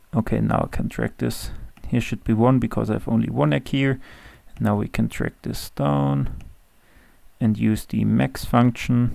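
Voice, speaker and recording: Someone with a German accent speaks at a fairly slow pace. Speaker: Excel tutorial creator. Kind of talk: tutorial. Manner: hesitant with fillers.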